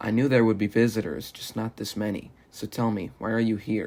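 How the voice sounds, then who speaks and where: A man does a raspy, put-on character voice at a medium pitch. He moves at a fairly quick pace with fairly even intonation. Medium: read story. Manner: cold, suspicious.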